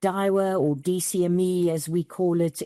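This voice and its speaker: This woman has a fairly low, dark, mellow voice with a South African accent and fairly even intonation. The sound is dry and close with no echo, on a very clean recording with a silent background. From South Africa, rural east near Mozambique. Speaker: bank CEO. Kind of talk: interview.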